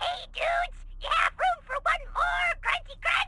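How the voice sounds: A squeaky, put-on character voice at an extremely high pitch speaks at a moderate pace over light background noise.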